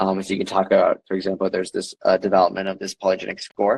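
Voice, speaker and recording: The sound of this man's voice is dry and close, without any echo. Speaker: genetics company CEO. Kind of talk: expert interview with screen demo. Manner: fast.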